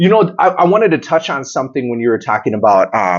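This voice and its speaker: Loud and fairly quick, a man is speaking. His pitch swings very widely. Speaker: podcast host. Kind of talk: casual chat.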